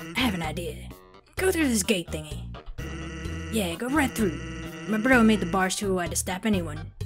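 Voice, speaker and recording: A man performs a put-on character voice with clear music in the background. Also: moderate pace. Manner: laid-back, joking.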